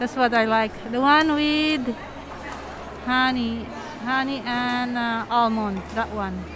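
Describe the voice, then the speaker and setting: Crowd noise fills the background while a woman speaks very slowly with a Filipino accent, pausing long and often. Her voice is high and fairly even in intonation, and the sound is dry with no echo. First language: Tagalog. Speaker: travel and food vlogger; vlogger customer. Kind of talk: casual vlog narration. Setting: shopping mall. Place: shop. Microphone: phone near.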